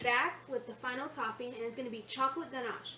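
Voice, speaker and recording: A raised, projected voice carries at a moderate pace over noticeable background noise. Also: woman. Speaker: cooking video creator. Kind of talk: casual cooking tutorial.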